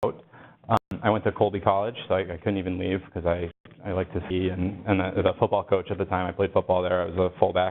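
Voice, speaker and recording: Monotone, flat delivery in an American accent at a fairly quick pace. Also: man, very deep, low pitch for a man. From Maine, US. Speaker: pediatric gastroenterologist. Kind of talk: lecture. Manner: loud; informal.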